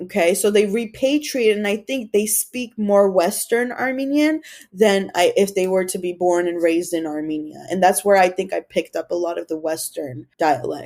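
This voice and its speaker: Using an American accent, a woman speaks at a moderate pace in an animated tone with very wide pitch swings. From Los Angeles, US. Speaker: comedian. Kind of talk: casual chat.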